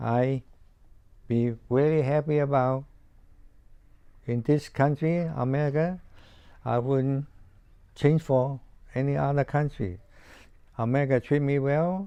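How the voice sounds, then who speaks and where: Against a quiet background, a man with a Chinese accent and a fairly high pitch talks at a fairly slow pace, his intonation fairly even and his long pauses frequent. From China. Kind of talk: interview answer. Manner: hesitant, halting.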